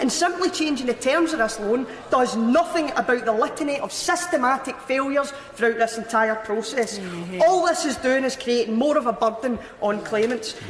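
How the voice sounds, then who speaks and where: A woman's high voice in a Scottish accent, fairly quick, over noticeable background noise. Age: 20s. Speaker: politician. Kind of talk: parliamentary speech. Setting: debating chamber. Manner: impassioned, rousing.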